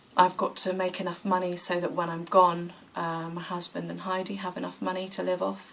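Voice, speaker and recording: Noticeable background noise surrounds a woman speaking at a fairly low pitch. She talks at a fairly quick pace with monotone, flat intonation. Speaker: yoga vlogger. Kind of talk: casual vlog monologue. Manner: hesitant with many fillers.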